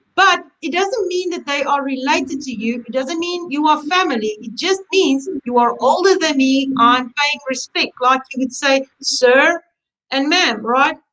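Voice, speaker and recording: A woman with a high-pitched voice and a bright, sharp tone speaks at a fairly slow pace. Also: ordinary pitch variation. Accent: South African. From South Africa. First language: Afrikaans. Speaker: embroidery instructor. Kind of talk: webinar chat. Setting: online webinar.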